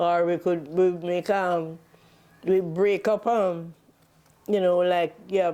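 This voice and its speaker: In a Jamaican accent, a woman with a fairly low pitch speaks very slowly in a monotone, flat intonation, with long, frequent pauses. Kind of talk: oral history interview answer.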